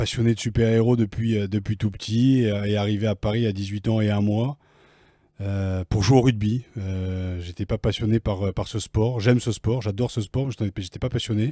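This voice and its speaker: The voice has a dark, mellow tone and fairly even intonation at a moderate pace. The recording is very clean, with a silent background and a dry, close sound with no echo. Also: man, fairly low pitch for a man. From Picardy, northern France. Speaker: former rugby player and author. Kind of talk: interview. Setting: recording room in Paris offices.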